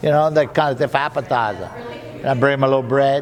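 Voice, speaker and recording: Amid noticeable background noise, a man with a Louisiana accent speaks at a medium pitch. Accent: Cajun French. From Louisiana Cajun. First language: French. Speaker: waiter. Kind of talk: interview answer. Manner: chatty, folksy.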